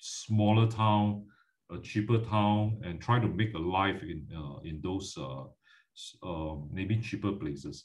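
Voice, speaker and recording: Over a quiet background, a man talks at a fairly slow pace with lively intonation. His fairly low voice sounds somewhat breathy. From Malaysia. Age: 50s. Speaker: finance educator. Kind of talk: lecture. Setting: video call. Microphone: video call.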